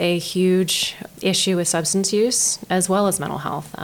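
A woman with an American accent, medium pitch and fairly even intonation, fairly slow, amid noticeable background noise. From Maryland Eastern Shore, Denton. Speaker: county behavioral health director. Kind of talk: interview. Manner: halting.

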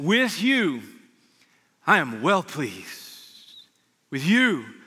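A man speaks in a raised, projected voice at a high pitch. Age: 40s. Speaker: pastor. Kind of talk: sermon. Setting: church service with live audience.

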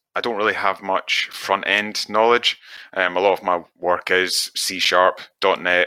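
A fairly low-pitched man with a Scottish accent, bright, sharp tone and fairly slow pace. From west coast of Scotland. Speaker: web developer. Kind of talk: casual chat. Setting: live stream.

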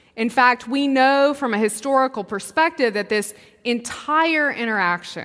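A woman with a Southern US accent speaks at a high pitch and a fairly slow pace. Her tone is bright and sharp, with very wide pitch swings. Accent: Southern American. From US South, Mississippi. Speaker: preacher. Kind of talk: sermon. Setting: church.

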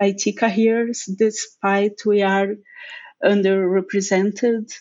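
Her pace is very slow and her intonation monotone and flat. The woman speaks at fairly high pitch in a Portuguese accent. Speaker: technical lead. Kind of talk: casual chat. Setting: remote call.

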